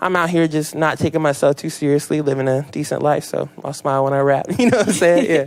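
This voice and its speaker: A man with an American accent talks very fast, with hardly any pauses. His pitch varies in an ordinary way. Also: fairly high pitch for a man. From Seattle area, Washington, US. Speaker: rapper. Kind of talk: casual interview. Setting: radio studio. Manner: animated.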